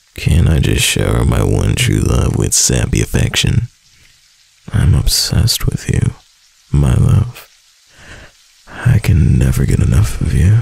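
Slowly and with long, frequent pauses, a man uses a put-on character voice of extremely low pitch, slightly mellow in tone with a husky, rough edge, vocal fry and big pitch swings.

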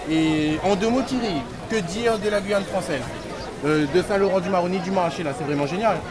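Over crowd noise in the background, a man speaks at a high pitch with ordinary pitch variation. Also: moderate pace. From Réunion. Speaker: travel vlogger. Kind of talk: casual vlog, walking tour. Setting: outdoors, market. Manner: chatty, animated. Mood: enthusiastic, upbeat. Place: market. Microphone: phone near.

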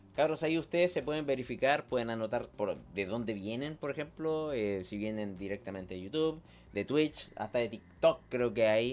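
Speaking in a Chilean accent at a moderate pace, the voice has lively intonation and hardly any pauses, with faint music in the background. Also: man. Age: 30s. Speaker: tech streamer. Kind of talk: live stream chat. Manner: animated. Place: home room. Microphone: studio mic.

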